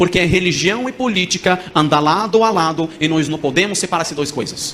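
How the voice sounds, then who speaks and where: In a Moroccan accent, a man speaks at a high pitch with ordinary pitch variation. His pace is fairly quick. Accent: non-native Portuguese, Moroccan. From Morocco. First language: Arabic (speaking Portuguese). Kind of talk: testimony.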